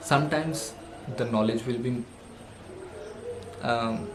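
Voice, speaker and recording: In a room with audible echo and noticeable background noise, a man speaks at a medium pitch. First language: not English. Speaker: self-help vlogger. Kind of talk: motivational monologue. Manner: halting, with fillers.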